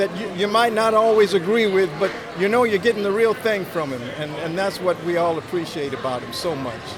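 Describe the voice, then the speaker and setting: A man with a high voice and ordinary pitch variation is heard through audible room echo and noticeable background noise. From Los Angeles. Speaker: longtime friend of the barber. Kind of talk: interview. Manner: halting, repeats words.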